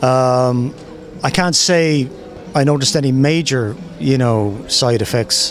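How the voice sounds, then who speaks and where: Over music in the background, a man with an Irish accent speaks at a medium pitch. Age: 60s. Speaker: member of the public. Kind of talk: vox pop interview.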